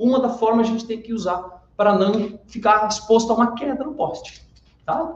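Audible room echo surrounds a man whose high-pitched voice moves at a moderate pace with ordinary pitch variation. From western Santa Catarina, Brazil. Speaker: workplace safety trainer. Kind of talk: casual chat. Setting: auditorium.

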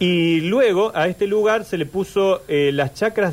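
A man with a Córdoba Argentine accent, high in pitch, fairly slow, with lively intonation. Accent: Córdoba Argentine Spanish (tonada cordobesa). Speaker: local history storyteller on a radio show. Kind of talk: storytelling and casual radio chat. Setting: live radio studio streamed online.

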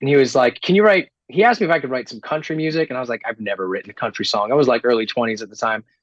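Very fast and with hardly any pauses, a man talks at medium pitch with lively intonation and big swings in loudness. The sound is dry and close, without echo. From Rhode Island. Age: 20s. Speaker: singer-songwriter. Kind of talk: interview.

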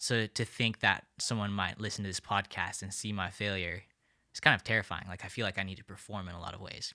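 A man with a fairly low voice talks at a very fast pace, his tone bright and sharp with fairly even intonation. His loudness swings widely on a very clean recording with a silent background. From India (New Delhi). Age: 20s. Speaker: college student, residence assistant coordinator. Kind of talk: casual interview.

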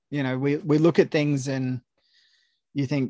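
Dry and close with no echo, a man in an Australian accent speaks at a fairly high pitch and moderate pace with fairly even intonation against a quiet background. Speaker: film writer. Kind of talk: casual chat.

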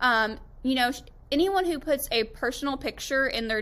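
A bright, sharp tone from a woman with an American accent. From Florida, Tampa. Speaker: wedding photographer. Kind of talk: tutorial presentation. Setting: screen-share presentation video. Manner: casual with frequent fillers.

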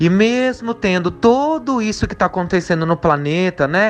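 Lively intonation from a man at a moderate pace, with noticeable background noise behind him. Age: 30s. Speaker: spiritualist. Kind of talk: recorded testimony.

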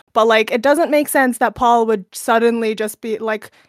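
An unremarkable speaking voice from a woman, fairly high-pitched, with ordinary pitch variation and a fairly quick pace, in a dry, close sound with no echo on a very clean recording with a silent background. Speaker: podcast co-host. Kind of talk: casual podcast discussion.

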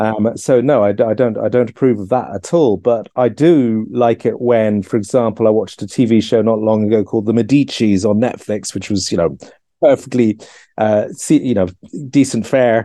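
A man's dark, mellow voice at a medium pitch and moderate pace, with ordinary pitch variation. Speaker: author and historian. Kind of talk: casual chat. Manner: halting.

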